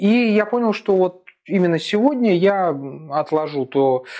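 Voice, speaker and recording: A man's dark, mellow tone with lively intonation over a quiet background. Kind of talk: informational talk to camera. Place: office. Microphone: lapel.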